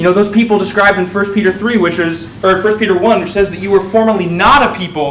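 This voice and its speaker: Over light background noise and audible room echo, a man speaks in a high pitch with ordinary pitch variation. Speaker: preacher. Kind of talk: sermon. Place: church. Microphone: lapel.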